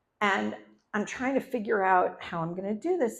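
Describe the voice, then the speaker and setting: With an unremarkable speaking voice, the speaker moves at a moderate pace and uses lively intonation. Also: woman. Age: 60s. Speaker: storyteller. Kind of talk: live storytelling performance. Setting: stage with audience.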